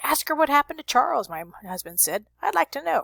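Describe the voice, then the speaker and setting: A woman performs a put-on character voice, high-pitched with very wide pitch swings. She moves at a fairly quick pace. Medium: read story. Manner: dry.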